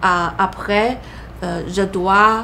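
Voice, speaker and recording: A woman with a Chinese accent speaks at a medium pitch with fairly even intonation. Noticeable background noise can be heard. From China. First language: Mandarin (speaking French). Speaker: immigrant sharing her story. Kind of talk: interview. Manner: halting, many hesitations.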